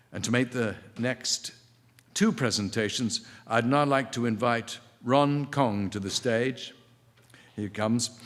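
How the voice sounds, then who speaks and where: With an English accent, a man of medium pitch speaks at a fairly slow pace, his intonation fairly even and broken by long, frequent pauses. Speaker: ceremony host. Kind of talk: award presentation. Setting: stage with audience.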